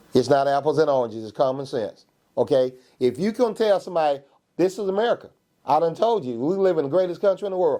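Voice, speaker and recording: Very fast speech from a man with a Georgia accent, high pitch and lively intonation. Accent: Southern US, Georgia. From US South, Georgia (Macon area). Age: 60s. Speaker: county coroner. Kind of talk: interview, casual debate. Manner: emphatic, repeats "okay?" often.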